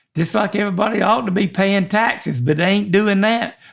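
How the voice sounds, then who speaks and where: With a Southern US accent, a man talks at a fairly quick pace in a high pitch. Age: 70s. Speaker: podcast co-host. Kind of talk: casual chat. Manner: halting.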